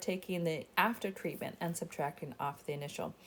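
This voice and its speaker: This is a woman speaking. Her pace is moderate. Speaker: statistics instructor. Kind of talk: tutorial.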